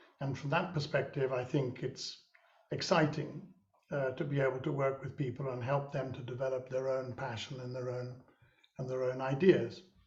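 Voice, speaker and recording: A man's somewhat breathy, medium-pitched voice at a moderate pace, with fairly even intonation and audible room echo. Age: 70s. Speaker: social entrepreneur and mentor. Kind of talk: webinar conversation. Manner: halting.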